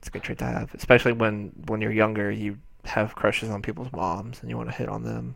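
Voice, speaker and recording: A man talks at a very fast pace. His loudness swings widely. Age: 20s. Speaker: podcast co-host. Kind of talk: casual chat.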